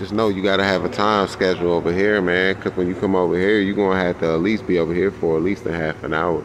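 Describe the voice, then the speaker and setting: With noticeable background noise, a man with a very deep, low pitch speaks very fast in a monotone, flat intonation. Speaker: vlogger. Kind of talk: casual vlog chat. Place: street. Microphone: phone near.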